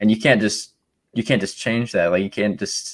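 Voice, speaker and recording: Speaking at a moderate pace, a man uses an ordinary speaking voice with a fairly low pitch and fairly even intonation, on a very clean recording with a silent background. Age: 20s. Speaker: podcast co-host. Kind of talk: podcast interview. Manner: casual.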